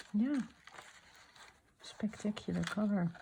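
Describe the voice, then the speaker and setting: A woman speaks softly over noticeable background noise. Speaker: art journaling youtuber. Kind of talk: crafting tutorial chat. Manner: soft-spoken; halting.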